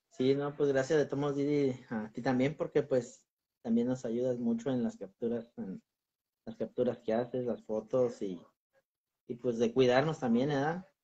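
In a normal speaking voice, a man talks at a fairly slow pace and a medium pitch, with ordinary pitch variation. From Michoacán, Mexico. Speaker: paranormal explorer; channel host being interviewed. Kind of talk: casual interview. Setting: video call. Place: home room. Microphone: video call.

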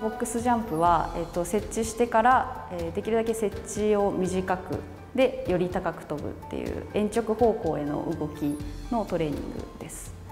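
A woman talks at a moderate pace, with ordinary pitch variation. Her loudness swings a lot, and clear music plays in the background. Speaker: trainer. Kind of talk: interview answer explaining exercises. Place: gym. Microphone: lapel.

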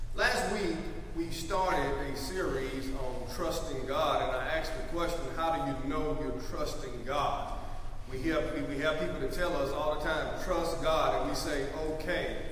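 Strong room echo on a man's voice, with light background noise. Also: fairly slow pace. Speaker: preacher. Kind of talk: sermon. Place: church. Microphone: podium.

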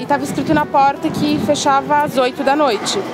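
Music plays in the background of this dry recording with no echo. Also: woman. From São Paulo, Brazil. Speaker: interviewee. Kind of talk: interview answer. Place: waterside.

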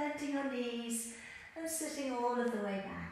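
A woman with a high voice talks in a room with strong echo. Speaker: exercise instructor. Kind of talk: tutorial. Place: empty room.

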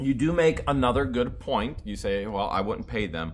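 Light background noise sits behind a man's speech. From Ohio. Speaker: YouTuber. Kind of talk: casual chat answering viewer questions. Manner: animated. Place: home room. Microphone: phone near.

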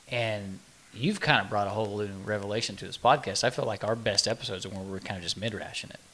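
A man's fairly low voice at a very fast pace, with fairly even intonation and big swings in loudness. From Oklahoma. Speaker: podcast co-host. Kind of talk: casual chat. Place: meeting room. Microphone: studio mic.

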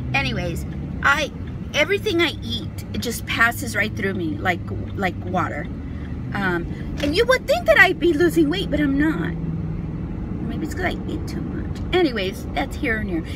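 A woman speaks with long, frequent pauses, the sound dry with no echo but with noticeable background noise. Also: moderate pace. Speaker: beauty vlogger. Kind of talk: casual vlog chat. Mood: chatty, confiding, humorous. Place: car. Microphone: phone near.

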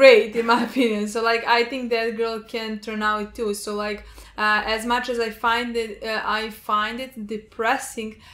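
In a monotone, flat intonation, a woman speaks at a fairly slow pace. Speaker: reaction video host. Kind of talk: casual discussion of a TV episode. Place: home room. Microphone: camera far.

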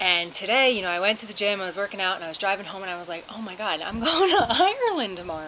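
Through light background noise, a woman speaks at a very fast pace. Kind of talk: casual vlog chat. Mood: excited, emotional. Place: garden. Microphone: phone near.

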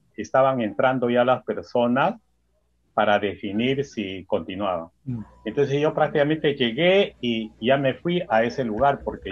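Over noticeable background noise, a man talks at a moderate pace with lively intonation and a medium pitch. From Peru, Huancavelica (central highlands). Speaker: spiritual workshop instructor. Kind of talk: interview conversation. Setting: video call. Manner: halting. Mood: calm, reflective. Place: home room. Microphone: webcam.

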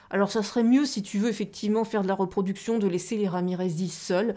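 A woman's dark, mellow tone at a fairly quick pace. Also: quiet background. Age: 40s. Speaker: aquarium hobby YouTuber; aquarium hobby streamer. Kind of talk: live stream chat with viewers. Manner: hesitant, many fillers. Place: home room. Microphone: new microphone; studio mic.

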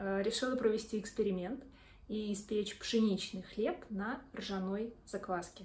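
A woman's voice with fairly even intonation. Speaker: home baker blogger. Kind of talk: casual vlog chat. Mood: cheerful, friendly. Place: kitchen. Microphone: phone near.

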